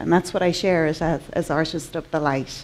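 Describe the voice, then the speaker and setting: With an Irish accent, a woman talks at a moderate pace and with fairly even intonation over noticeable background noise. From Ireland. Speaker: artist and conference speaker. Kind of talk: conference talk.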